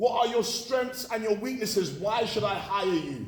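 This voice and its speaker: There is audible room echo as a man speaks at a moderate pace. He has a high pitch and lively intonation. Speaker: motivational speaker. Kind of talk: motivational talk to students.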